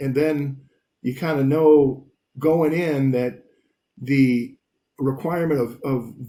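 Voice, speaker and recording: Dark, mellow tone with ordinary pitch variation. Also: man. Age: 60s. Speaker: commercial mortgage company president. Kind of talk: interview. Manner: halting, many repetitions.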